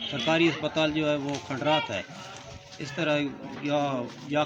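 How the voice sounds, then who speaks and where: Over music in the background, a man talks at a fairly high pitch. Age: old. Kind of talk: street interview answer.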